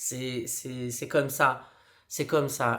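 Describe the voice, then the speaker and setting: A man speaks at a very slow pace in a flat, monotone way. The recording is very clean, with a silent background. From Brazil. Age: 40s. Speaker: street clown and performer. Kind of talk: motivational talk.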